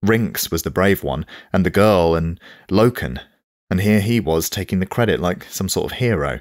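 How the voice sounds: Quiet background, a natural reading voice, ordinary pitch variation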